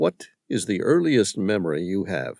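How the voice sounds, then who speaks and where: Using a put-on character voice, a man with a fairly low pitch makes very wide pitch swings. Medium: read story. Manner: menacing.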